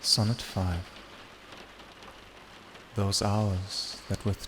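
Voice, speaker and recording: A soft-spoken man with a soothing tone and fairly low pitch, very slow and monotone with flat intonation, over noticeable background noise. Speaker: ASMR reader. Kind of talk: poetry reading. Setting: rain on window ambience in background. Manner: soft-spoken, soothing.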